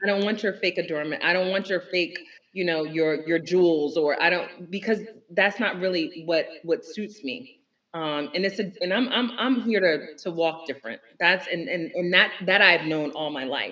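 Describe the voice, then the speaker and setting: A woman with an American accent and an ordinary speaking voice, fairly low in pitch, at a moderate pace with ordinary pitch variation. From Newark, New Jersey. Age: middle-aged. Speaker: entrepreneur. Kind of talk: casual chat.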